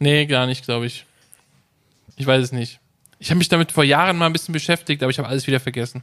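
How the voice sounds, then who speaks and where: A man talks at a very fast pace, pausing long and often. His pitch is fairly high. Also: fairly even intonation. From Hesse, Rüsselsheim. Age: 30s. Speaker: podcast host. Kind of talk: casual chat.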